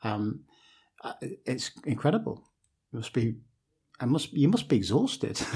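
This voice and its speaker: Lively intonation marks this man's somewhat breathy voice at medium pitch. He leaves long, frequent pauses. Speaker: podcast host. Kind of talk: casual interview.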